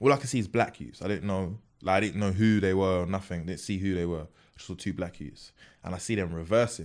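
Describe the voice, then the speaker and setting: A very fast South London accent with ordinary pitch variation over a quiet background. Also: man, very deep, low pitch for a man. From South London, Peckham. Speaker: comedian and content creator. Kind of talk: casual chat.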